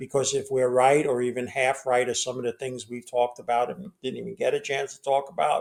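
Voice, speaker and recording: An unremarkable speaking voice from a man, medium in pitch, with fairly even intonation and a fairly quick pace. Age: 60s. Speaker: financial commentator. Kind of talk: interview.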